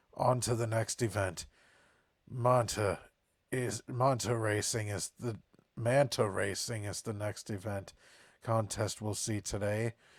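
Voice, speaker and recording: A man puts on a character voice at a medium pitch, speaking at a fairly slow pace with long, frequent pauses. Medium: game stream. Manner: regal, formal.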